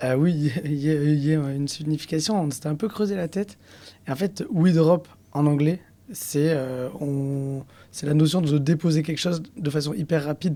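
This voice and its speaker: A man talks in a dark, mellow tone at a fairly high pitch. His pitch varies in an ordinary way, and his pace is moderate. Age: 30s. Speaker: entrepreneur, company founder. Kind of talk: podcast interview. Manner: hesitant, many fillers.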